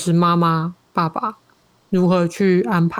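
This is a woman speaking. Her pitch is fairly low. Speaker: podcaster and social worker. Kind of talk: casual interview.

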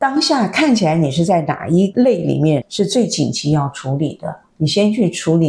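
Her tone dark and mellow with some vocal fry, a woman talks at a moderate pace in a fairly low pitch with lively intonation. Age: 60s. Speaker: former journalist, spiritual wellness teacher. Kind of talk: interview.

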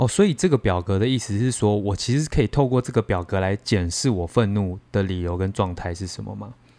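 Hardly pausing, a man talks at a fairly quick pace in a dark, mellow tone. His pitch is fairly low with ordinary variation, and the recording is very clean with a silent background. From southern Taiwan. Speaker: podcast co-host acting as listener. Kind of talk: casual chat. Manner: animated, laughing often.

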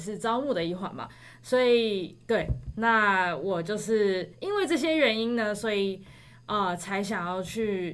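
A woman's medium-pitched voice with lively intonation and a Taiwanese accent. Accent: Taiwanese Mandarin. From Taiwan, Taipei. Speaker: graduate student. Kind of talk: casual chat.

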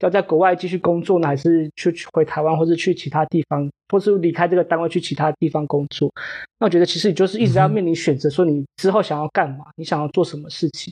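Speaking at a very fast pace with a Taiwanese accent, a man with a high pitch and a dark, mellow tone keeps a fairly even intonation in a dry, close sound with no echo. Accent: Taiwanese Mandarin. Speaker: postdoctoral researcher. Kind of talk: casual interview chat. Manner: halting, repeats words.

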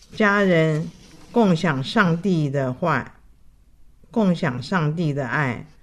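With a very deep, low voice, a woman speaks at a very slow pace with lively intonation and long, frequent pauses. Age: 80s+. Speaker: elderly churchgoer sharing life story. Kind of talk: personal testimony.

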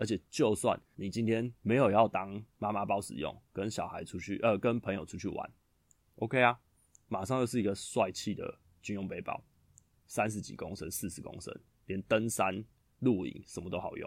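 Fairly low in pitch, a man with a normal speaking voice talks at a moderate pace with fairly even intonation and big swings in loudness. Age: 30s. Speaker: podcast host, new father. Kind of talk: casual monologue, storytelling.

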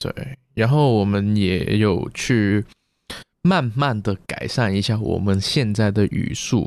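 In a very clean recording with a silent background, a man speaks very slowly with ordinary pitch variation. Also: fairly low pitch for a man. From Macau. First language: Cantonese (speaking Chinese). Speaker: podcast co-host. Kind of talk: casual chat.

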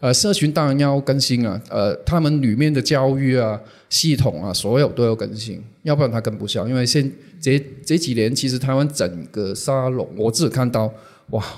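On a very clean recording with a silent background, a man speaks at a moderate pace. His pitch is medium, with ordinary pitch variation. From Hong Kong. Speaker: social media manager, former magazine publisher. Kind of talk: interview. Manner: halting.

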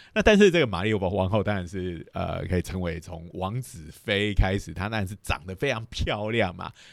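A man's normal speaking voice, fairly low in pitch, with ordinary pitch variation, big swings in loudness, hardly any pauses and a moderate pace. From Taiwan, Lukang (Changhua). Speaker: physics professor, podcast host. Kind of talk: lecture; casual chat.

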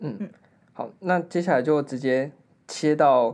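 Delivered in a normal speaking voice at a moderate pace with ordinary pitch variation, the recording is very clean with a silent background. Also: man. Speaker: podcast host. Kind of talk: casual chat.

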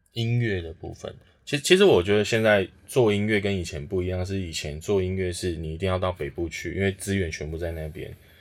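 A man with a very deep, low pitch talks at a fairly quick pace with hardly any pauses and ordinary pitch variation, on a very clean recording with a silent background. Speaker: music studio founder. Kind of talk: casual chat. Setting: music studio.

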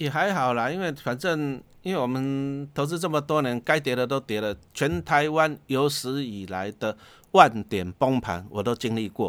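An ordinary speaking voice from a man, medium-pitched, fairly slow and lively in intonation, on a very clean recording with a silent background. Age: 50s. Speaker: investment author, former teacher. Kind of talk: casual interview.

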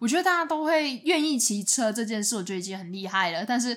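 A woman speaks very fast at a fairly high pitch with very wide pitch swings. Noticeable background noise is present. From Taiwan, outside Taipei. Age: 20s. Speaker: podcast co-host. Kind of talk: casual chat.

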